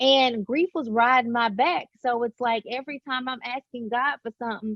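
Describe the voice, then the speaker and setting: In an American accent, a woman with a high pitch talks at a moderate pace with ordinary pitch variation. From Alabama. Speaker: author. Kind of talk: interview. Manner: animated.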